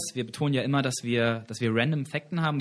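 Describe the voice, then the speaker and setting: A man speaks in an ordinary speaking voice, fairly high in pitch, with ordinary pitch variation and a fairly quick pace. The recording is very clean, with a silent background. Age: 20s. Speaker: campus radio host. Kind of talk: casual trivia chat show.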